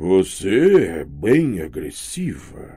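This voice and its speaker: A raspy, rumbling, booming put-on character voice at a very slow pace. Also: man. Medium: read story. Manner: rumbling and gloating.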